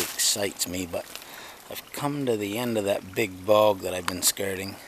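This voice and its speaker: The man's voice has a dry sound with no echo, though noticeable background noise is present. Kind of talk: casual vlog chat. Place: forest. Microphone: phone near.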